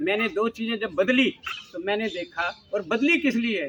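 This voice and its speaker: A man speaks at a high pitch over noticeable background noise. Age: 70s. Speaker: health talk speaker. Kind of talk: personal testimony talk. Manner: animated storytelling.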